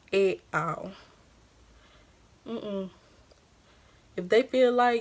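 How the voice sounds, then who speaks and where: She speaks with a Louisiana accent. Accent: country Louisiana. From Louisiana, US South. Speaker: beauty vlogger. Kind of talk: casual chat. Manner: animated.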